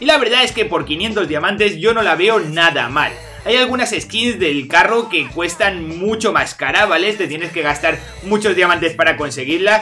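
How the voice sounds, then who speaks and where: With faint music in the background, a man uses a raised, projected voice at a fairly slow pace. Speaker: gaming content creator. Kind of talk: casual gaming commentary. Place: home room.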